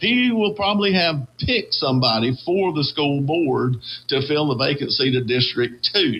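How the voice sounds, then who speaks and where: A man's fairly high voice at a moderate pace, very wide pitch swings, and very even loudness. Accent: Southern US. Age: 60s. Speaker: radio host. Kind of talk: casual chat.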